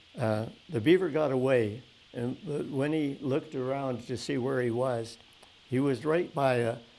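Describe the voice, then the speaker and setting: Speaking with a western Canadian accent, a man has a dark, mellow tone. His pitch is medium with ordinary variation. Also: moderate pace. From Canada, Calgary. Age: 80s+. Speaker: oral history interviewee. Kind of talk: storytelling in an interview. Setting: museum event with audience. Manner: halting, many fillers and restarts.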